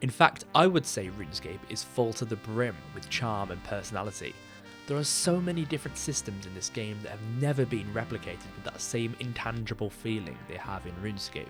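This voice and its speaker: Over music in the background, a man with a fairly low pitch talks at a fairly quick pace, his pitch swinging very widely and his loudness shifting a lot. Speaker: gaming video creator. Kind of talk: scripted video essay narration.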